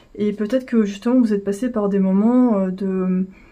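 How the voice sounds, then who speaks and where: A woman mumbles at a fairly slow pace in a dark, mellow, somewhat breathy tone. Her pitch shows ordinary variation. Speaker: tarot reader. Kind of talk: tarot reading. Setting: at home, indoors with incense. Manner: mumbling.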